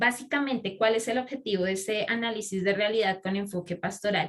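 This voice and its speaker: Here is a woman with a plain, everyday voice. Her pitch sits in the medium range and varies in an ordinary way. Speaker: pastoral social specialist. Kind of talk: lecture.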